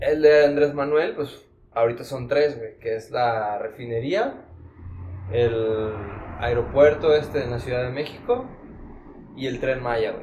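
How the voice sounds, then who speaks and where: A man speaks at a medium pitch and a fairly slow pace with a Mexican accent, leaving long, frequent pauses. His intonation stays fairly even while his loudness swings widely, and room echo is audible. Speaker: financial administrator, podcast guest. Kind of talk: casual chat.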